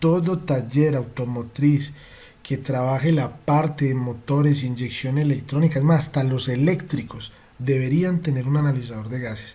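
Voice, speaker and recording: Audible room echo surrounds a man with a fairly high pitch. He talks at a moderate pace with ordinary pitch variation. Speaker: automotive diagnostics trainer. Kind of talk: online training lecture. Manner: passionate.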